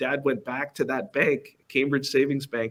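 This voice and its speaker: A man is speaking. His pitch is fairly high. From Angola, then Massachusetts, US. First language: Portuguese. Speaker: company executive. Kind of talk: fireside chat interview at conference.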